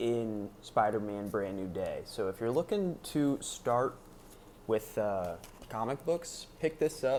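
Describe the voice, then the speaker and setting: Using an ordinary speaking voice, a man talks at a fairly slow pace in a medium pitch. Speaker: vlogger. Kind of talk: casual vlog review.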